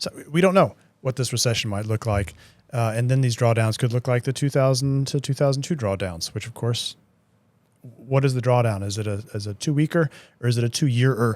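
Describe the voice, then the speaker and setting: On a very clean recording with a silent background, a man with an American accent talks at a fairly quick pace in a medium pitch with ordinary pitch variation. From United States. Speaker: market strategist. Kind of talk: podcast discussion. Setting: studio. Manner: hesitant, many fillers.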